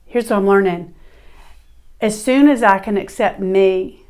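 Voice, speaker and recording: At a moderate pace, a woman of medium pitch talks with a Southern US accent. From US South. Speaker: podcast host. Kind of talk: monologue. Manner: animated.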